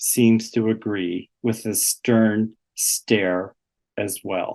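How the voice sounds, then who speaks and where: The pitch of this man's voice sits in the medium range. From southwestern Ontario, Canada. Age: 60s. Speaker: artist and retired gallery director. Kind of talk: presentation talk.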